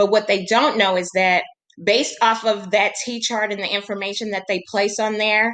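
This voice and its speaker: A woman speaks at a moderate pace in a plain, everyday voice. Her pitch is medium and her intonation fairly even. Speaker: teacher. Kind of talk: recorded lesson presentation for colleagues.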